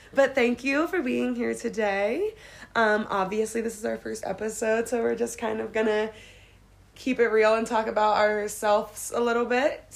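A woman speaks with an unremarkable speaking voice at a fairly high pitch. Her pace is moderate and her intonation fairly even. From Pennsylvania, Harrisburg. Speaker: podcast co-host, hotel supervisor. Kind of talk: casual chat.

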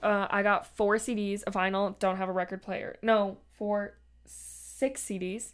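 A woman with a normal speaking voice at a medium pitch, talking at a fairly slow pace on a very clean recording with a silent background. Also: fairly even intonation. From Canada. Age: 20s. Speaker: podcast host. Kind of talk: casual chat.

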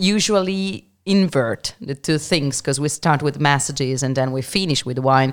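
With an Italian accent, a woman speaks at a very deep, low pitch. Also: ordinary pitch variation, moderate pace, hardly any pauses. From Milan, Italy. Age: 30s. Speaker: winery representative. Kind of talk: casual chat.

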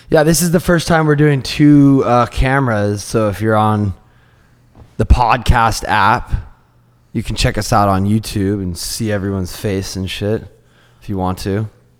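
A man speaks in a plain, everyday voice at a moderate pace. His pitch is fairly low and his intonation lively. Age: 30s. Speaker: podcast host. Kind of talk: casual chat.

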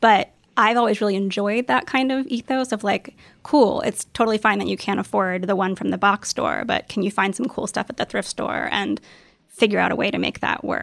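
Speaking at a fairly quick pace with vocal fry, a woman has a medium pitch with ordinary variation, recorded with a dry, close sound with no echo against a quiet background. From US South. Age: 30s. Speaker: writer and design blogger. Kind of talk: interview.

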